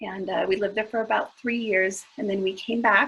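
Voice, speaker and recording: Woman with a Spanish accent, medium pitch, ordinary pitch variation, and a moderate pace. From southern California. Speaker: school counselor. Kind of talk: panel talk. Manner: casual, many fillers.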